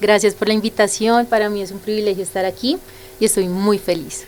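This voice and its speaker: Through noticeable background noise, a woman speaks at a moderate pace in a fairly high pitch with fairly even intonation. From Colombian Caribbean coast (Sincelejo, Sucre). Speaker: church member giving testimony. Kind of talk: interview testimony.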